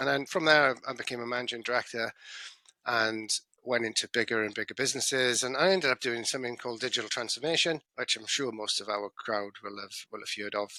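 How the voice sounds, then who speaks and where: A man with a British accent talks at a very fast pace in a bright, sharp tone, his medium pitch showing ordinary variation, recorded with a dry, close sound and no echo. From UK. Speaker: business consultant. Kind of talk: podcast interview. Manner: halting, with stammers and restarts.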